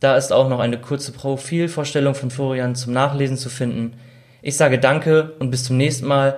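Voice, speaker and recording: At a moderate pace and fairly high pitch, a man talks with fairly even intonation in an ordinary speaking voice. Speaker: intern interviewer. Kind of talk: interview.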